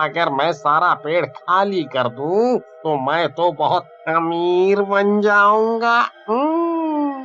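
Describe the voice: At a middle pitch and a very slow pace, a cartoonish character voice speaks over clear music in the background.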